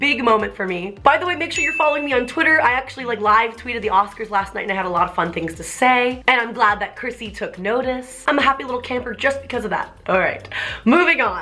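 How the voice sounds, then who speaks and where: Against noticeable background noise, a woman talks at a very fast pace with hardly any pauses. Her pitch is high and her tone animated. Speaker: YouTuber. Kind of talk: casual vlog commentary.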